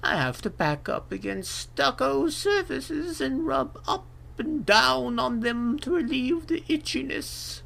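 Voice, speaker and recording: In a put-on character voice, a man talks at a fairly slow pace with an extremely high pitch, over clear background noise. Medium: read story. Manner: stern, matter-of-fact.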